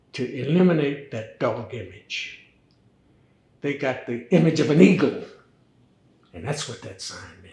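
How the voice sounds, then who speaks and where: A man with a fairly high pitch and a dark, mellow tone speaks at a fairly slow pace, with vocal fry. His intonation is lively, and the room echo is audible. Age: 80s+. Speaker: fraternity elder. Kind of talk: interview.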